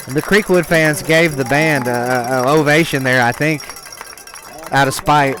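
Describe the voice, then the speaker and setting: Over music in the background, a man with an American accent speaks at a moderate pace in a fairly high pitch, his loudness very even. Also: ordinary pitch variation. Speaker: high school football radio announcer. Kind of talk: live play-by-play commentary. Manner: loud, shouting over band.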